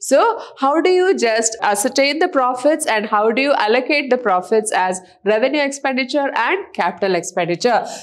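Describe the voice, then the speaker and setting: A woman talks at a moderate pace with hardly any pauses. Her high voice moves in very wide pitch swings. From India. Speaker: college lecturer. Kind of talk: lecture. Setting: recorded online class video.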